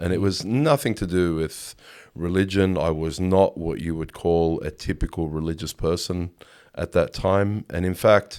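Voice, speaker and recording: Someone with an Australian accent speaks at a fairly slow pace on a very clean recording with a silent background. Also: man. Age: 40s. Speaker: photographer. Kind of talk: interview. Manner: halting.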